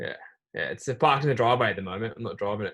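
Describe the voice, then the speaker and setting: This man has an Australian accent. His pitch sits in the medium range. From Australia, Melbourne. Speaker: racing driver, driving team member. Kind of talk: casual interview.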